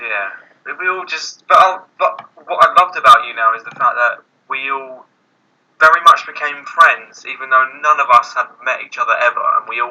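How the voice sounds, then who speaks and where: This man speaks with a British accent. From Britain. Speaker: youtuber. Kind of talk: casual chat. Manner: halting.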